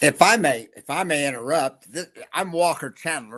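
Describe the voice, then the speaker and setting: A man speaks with a fairly high voice and a bright, sharp tone. The recording is very clean, the background silent. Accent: strong Southern US. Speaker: podcast host. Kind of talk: interview conversation.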